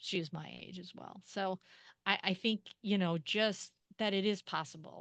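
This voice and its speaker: In a dry, close sound with no echo and a quiet background, a woman speaks at a moderate pace with fairly even intonation. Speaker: author and creative writing program director. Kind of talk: interview. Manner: halting.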